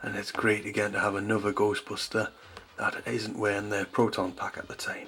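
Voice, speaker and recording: A man talks fairly quickly, with noticeable noise in the background. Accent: Geordie. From North East England. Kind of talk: toy review to camera.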